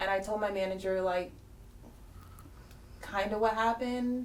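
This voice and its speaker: A woman's monotone, flat delivery with audible room echo. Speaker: group discussion participant. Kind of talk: personal testimony. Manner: hesitant, many fillers.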